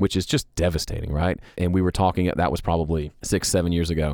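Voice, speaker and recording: Recorded very cleanly against a silent background, a man with an American accent speaks in a very deep, low pitch with fairly even intonation. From US South, Mississippi. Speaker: songwriter and producer. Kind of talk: casual chat.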